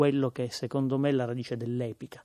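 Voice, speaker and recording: A man speaks with a Palermo accent. The sound is dry and close, with no echo. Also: very clean recording, silent background. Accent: Sicilian, Palermo. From Sicily, Palermo. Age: 30s. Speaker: writer and theatre performer. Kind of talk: radio interview.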